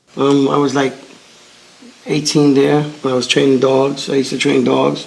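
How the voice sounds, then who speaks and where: A man with an American accent at medium pitch, against noticeable background noise and audible room echo. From New York City, Brooklyn. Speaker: pigeon keeper. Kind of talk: casual chat.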